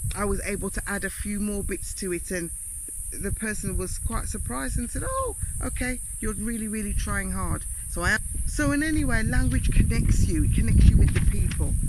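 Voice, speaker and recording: The talking goes at a fairly quick pace while noticeable background noise sits beneath it. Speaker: YouTuber, vlogger. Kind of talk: casual vlog talk. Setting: outdoors under a mango tree.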